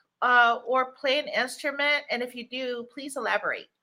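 A woman speaks at a high pitch in a raised, projected voice. Her tone is animated, upbeat, bright and sharp. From DMV area, US. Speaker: talk show host. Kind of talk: interview, casual chat. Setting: live stream.

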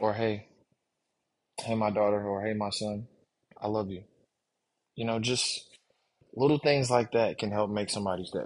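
A man talks at a moderate pace with fairly low pitch and fairly even intonation. He leaves long, frequent pauses. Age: 30s. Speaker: podcast host. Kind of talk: casual monologue. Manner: halting.

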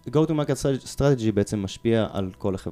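A man talks with lively intonation. Background music accompanies his voice. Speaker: product management consultant. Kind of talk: interview. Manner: halting.

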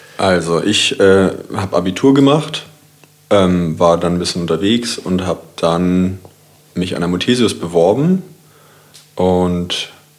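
A man talks at a fairly slow pace in a very deep, low pitch, with ordinary pitch variation. Noticeable background noise is present. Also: long, frequent pauses. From Kiel, northern Germany. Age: 30s. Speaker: designer. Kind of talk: casual chat.

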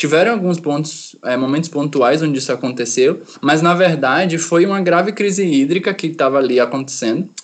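Here is a man with an ordinary speaking voice at a fairly high pitch and ordinary pitch variation. He talks at a fairly quick pace with hardly any pauses. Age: 20s. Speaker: energy engineering student. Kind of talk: explanatory interview.

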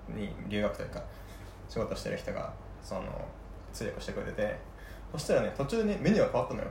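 Talking at a very fast pace broken by long, frequent pauses, a man is heard over noticeable background noise with audible room echo. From Saga, Kyushu. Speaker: podcast co-host, tech worker. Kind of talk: casual chat. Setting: drinking chat.

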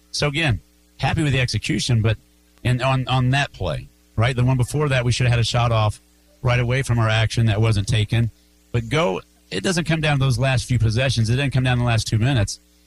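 A man's medium-pitched voice at a very fast pace, with ordinary pitch variation and music playing in the background. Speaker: high school basketball coach. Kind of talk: post-game interview. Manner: repetitive, earnest.

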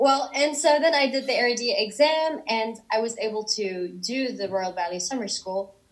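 A woman with a high voice speaks at a moderate pace with hardly any pauses. Her intonation is lively, and there is noticeable background noise. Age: 20s. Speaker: ballet dancer. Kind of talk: casual chat. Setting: video call.

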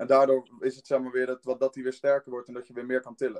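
At a fairly quick pace, a man with a medium pitch speaks with a dry, close sound with no echo. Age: young. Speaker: student, fitness podcast co-host. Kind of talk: casual chat.

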